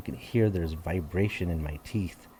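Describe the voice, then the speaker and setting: Speaking at a moderate pace with an American accent, a man has a somewhat breathy, dark, mellow tone. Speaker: English tutor. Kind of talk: online tutoring lesson. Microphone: good microphone.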